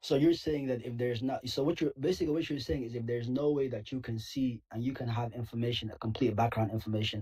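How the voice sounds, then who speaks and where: A man with a non-native accent talks at a very fast pace in a somewhat breathy, dark, mellow tone with ordinary pitch variation. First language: not English. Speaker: caller. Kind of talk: debate. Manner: halting, repeats words.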